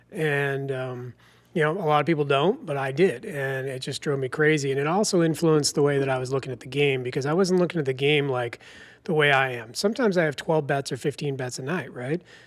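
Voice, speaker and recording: This man speaks very fast with a Boston accent. His pitch is fairly high, with ordinary variation. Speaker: sports betting podcast co-host. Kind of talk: casual podcast chat.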